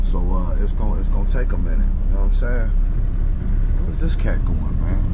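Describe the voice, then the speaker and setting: Loud background noise runs behind a man speaking at a fairly quick pace. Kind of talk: casual vlog chat. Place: car. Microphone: phone near.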